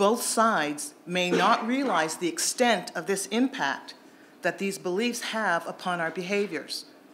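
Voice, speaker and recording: An unremarkable speaking voice from a woman, medium in pitch, with lively intonation and a fairly slow pace. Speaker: panel speaker at a public event. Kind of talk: timed panel talk.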